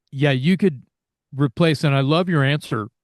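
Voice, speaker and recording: A man with a plain, everyday voice talks at a moderate pace, his pitch fairly high with ordinary variation, in a dry, close sound with no echo against a quiet background. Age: 60s. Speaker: heavy metal singer. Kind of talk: interview.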